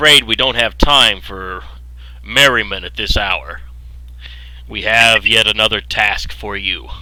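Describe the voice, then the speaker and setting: A man uses a put-on character voice, pitched fairly low. He talks at a fairly slow pace with long, frequent pauses. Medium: actual play.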